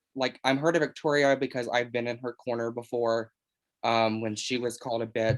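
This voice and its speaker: Heard in a very clean recording with a silent background, a man speaks at a moderate pace and a medium pitch for a man with monotone, flat intonation. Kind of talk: casual chat. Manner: loud.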